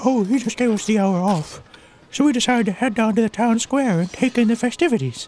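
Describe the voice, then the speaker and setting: A female-sounding put-on character voice, fairly high in pitch, at a very fast pace. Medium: read story.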